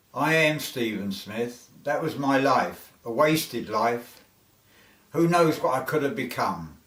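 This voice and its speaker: A man in a London accent at medium pitch, very slow in pace, with lively intonation. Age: 70s. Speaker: author. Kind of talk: autobiographical narration.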